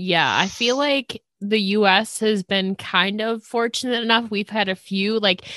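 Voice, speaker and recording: A woman's normal speaking voice at a medium pitch, with a dry, close sound and no echo. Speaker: podcast host. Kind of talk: casual interview chat.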